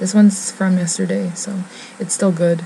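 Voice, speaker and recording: A woman talks fairly quickly with noticeable background noise around her. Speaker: beauty vlogger. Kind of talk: casual vlog chat. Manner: whispering.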